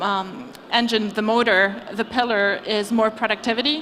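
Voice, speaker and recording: A woman's fairly high voice in a French accent, with fairly even intonation and noticeable background noise. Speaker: venture capital investor. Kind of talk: panel discussion. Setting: stage with audience.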